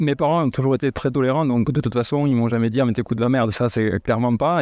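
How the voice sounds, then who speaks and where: Against a quiet background, a man speaks in a dark, mellow tone with a dry, close sound and no echo. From southern France, Montauban. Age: 40s. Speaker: house DJ and event organizer. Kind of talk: interview. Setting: host's living room.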